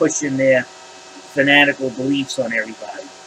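Against noticeable background noise, a man with a fairly high-pitched voice speaks at a fairly slow pace. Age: 50s. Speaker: YouTuber. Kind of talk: opinion rant. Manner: animated.

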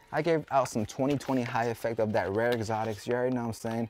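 The pace is fairly quick, the sound dry with no echo, and faint music plays in the background. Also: man. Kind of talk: casual prank banter. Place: shop.

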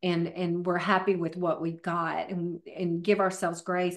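A woman with a Southern US accent, medium in pitch, over a quiet background. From US South. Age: 50s. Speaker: fitness trainer; podcast guest, fitness trainer. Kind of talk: casual interview. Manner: staggered, halting speech. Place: home room. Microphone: video call.

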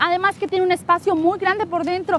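A woman speaks in an extremely high voice with an upbeat tone. The sound is dry with no echo, over light background noise. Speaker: car dealership presenter. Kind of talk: infomercial sales pitch. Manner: upbeat, persuasive salesy delivery. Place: street.

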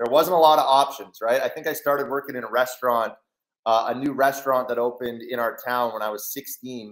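Fairly quick, fairly even speech over a quiet background. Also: man, medium pitch for a man. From Canada. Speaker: online trading educator and entrepreneur; online trading educator. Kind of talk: live webinar presentation. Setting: video call. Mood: reflective, earnest. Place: home room. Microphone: headset.

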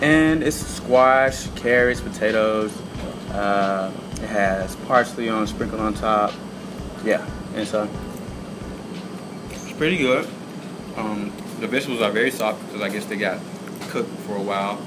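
Over noticeable background noise, the speaker moves at a fairly slow pace with long, frequent pauses and ordinary pitch variation. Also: man. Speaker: food show host. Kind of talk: food review chat. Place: cafe.

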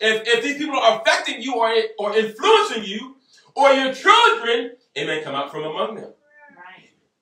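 Amid audible room echo but a quiet background, a man with an extremely high voice speaks at a moderate pace in a raised, projected voice with big swings in loudness. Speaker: pastor, preacher. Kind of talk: sermon. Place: home room. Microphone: camera far.

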